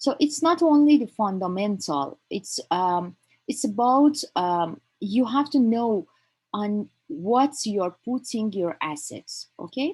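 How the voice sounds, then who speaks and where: Somewhat breathy and fairly high in pitch, a woman talks very slowly with very wide pitch swings. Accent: Persian. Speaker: crypto trading instructor. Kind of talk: online lecture. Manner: halting, many fillers.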